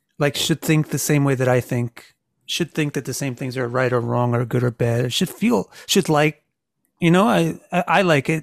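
A plain, everyday voice from a man with an American accent, fairly high in pitch, with ordinary pitch variation, a moderate pace, and a dry, close sound with no echo on a very clean recording with a silent background. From United States. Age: 50s. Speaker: astrologer and author. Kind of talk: casual interview.

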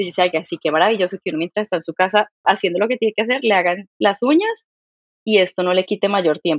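With ordinary pitch variation and a medium pitch, the female speaker talks at a very fast pace. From Colombia, Santander. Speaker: startup founder and CEO. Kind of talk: interview conversation.

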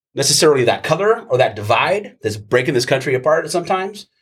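A man talks at a very fast pace. His voice is somewhat breathy, with lively intonation. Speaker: soccer supporter group member. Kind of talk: casual chat.

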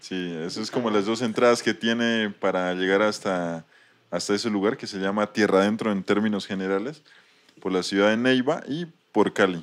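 A man's moderately paced speech, fairly low in pitch, its pitch varying in an ordinary way. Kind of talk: casual interview. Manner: halting, repetitive.

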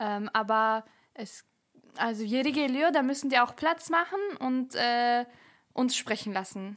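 A woman speaks at a high pitch with ordinary variation. She goes at a fairly slow pace, with long, frequent pauses. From Germany, Bielefeld. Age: 20s. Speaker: podcaster and student. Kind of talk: casual chat.

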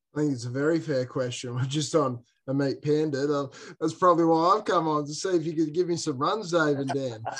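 This man speaks with an Australian accent at a fairly quick pace. His voice has a fairly high pitch with ordinary pitch variation. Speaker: cricket player, guest. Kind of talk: casual chat.

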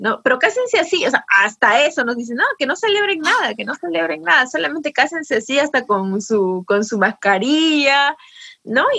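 A woman at a moderate pace, her high pitch making very wide swings. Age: 30s. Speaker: podcast co-host, family business manager. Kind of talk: casual chat.

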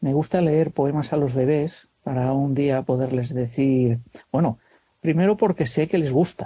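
At a fairly slow pace, a man speaks at a medium pitch, somewhat breathy, with ordinary pitch variation. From Castile, Spain (Segovia). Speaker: carpenter. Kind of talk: interview. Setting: phone call.

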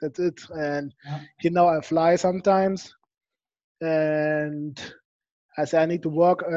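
A man with a German accent talks at a fairly slow pace in a fairly high pitch, his dark, mellow tone held to a monotone, flat intonation. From Germany. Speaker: professional American football player. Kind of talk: interview. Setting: video call.

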